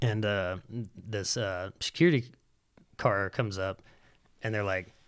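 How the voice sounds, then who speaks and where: A man speaks with a Southern US accent. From Alabama (Huntsville). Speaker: professional skateboarder. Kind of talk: casual chat.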